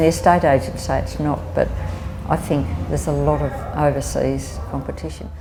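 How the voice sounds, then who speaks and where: Music plays in the background. A woman speaks with an Australian accent. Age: 70s. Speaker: older woman facing housing insecurity. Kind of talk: personal testimony.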